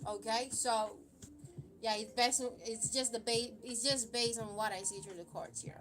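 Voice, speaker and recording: Amid noticeable background noise, a woman with a non-native accent speaks at a high pitch. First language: not English. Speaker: tarot card reader. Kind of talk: live stream tarot reading. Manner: halting, many fillers.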